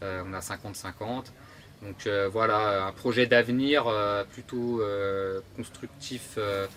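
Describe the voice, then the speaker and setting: Very slow in pace, the delivery keeps a fairly even intonation. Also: man, fairly low pitch for a man. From Burgundy, France (near Dijon). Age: 30s. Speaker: construction tradesman. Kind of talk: interview. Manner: halting, many hesitations.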